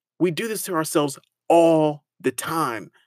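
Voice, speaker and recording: The voice has an animated tone. The recording is very clean with a silent background. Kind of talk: pep talk.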